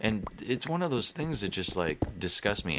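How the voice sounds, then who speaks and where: Over noticeable background noise, a man with an American accent speaks fairly quickly, his pitch swinging very widely. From United States. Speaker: gaming YouTuber. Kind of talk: casual gameplay commentary. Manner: rambling, halting with false starts.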